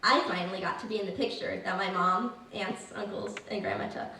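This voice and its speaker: An American-accented woman's voice against noticeable background noise. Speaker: Appalachian amateur writer reading her own story at a women's reading event. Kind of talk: live story reading at a public event.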